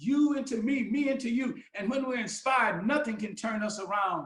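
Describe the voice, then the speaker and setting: A man with an extremely high pitch and an animated tone, ordinary pitch variation, a moderate pace and audible room echo. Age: 70s. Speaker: pastor. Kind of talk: sermon.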